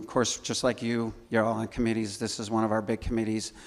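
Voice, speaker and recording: In a very clean recording with a silent background, a man with a Chicago accent speaks at medium pitch and a moderate pace. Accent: Chicago-area American. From Chicago north suburbs, Illinois. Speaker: church scholarship volunteer. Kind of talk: informal presentation to congregation. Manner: halting, many fillers and restarts.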